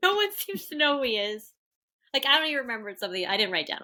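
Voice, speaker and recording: A woman projects a raised voice at a high pitch with a bright, sharp tone. She goes at a very fast pace with very wide pitch swings. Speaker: podcast co-host. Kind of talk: casual chat.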